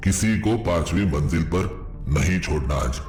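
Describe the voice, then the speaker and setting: A man speaks at a fairly slow pace in a cartoonish character voice, his pitch very deep and low. Background noise is clearly audible. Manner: warm, courtly.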